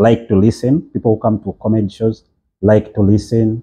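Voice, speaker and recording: A man's fairly low, dark, mellow voice, somewhat breathy, at a fairly quick pace. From Uganda. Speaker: podcast host and comedian. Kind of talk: casual interview chat.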